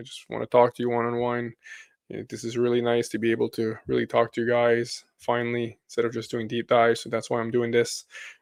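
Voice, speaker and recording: A man with a medium-pitched voice rattles along at a very fast pace in a flat monotone, his loudness swinging a lot, the sound dry and close with no echo. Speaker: crypto YouTuber. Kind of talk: live stream chat. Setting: live stream with bright lights.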